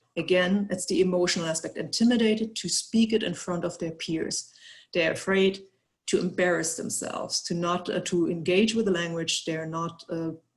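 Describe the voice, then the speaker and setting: A German accent at a moderate pace. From Germany. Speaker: researcher. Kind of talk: webinar presentation. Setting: online webinar. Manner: halting, many fillers and repetitions.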